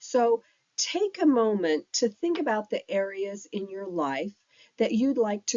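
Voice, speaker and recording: A woman with a medium pitch and a warm tone speaks with very wide swings in pitch. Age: 60s. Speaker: life coach. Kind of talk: tutorial. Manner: warm, conversational.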